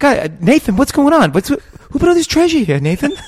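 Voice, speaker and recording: A whiny, high-pitched, put-on character voice speaks at a moderate pace. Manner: complaining, pleading.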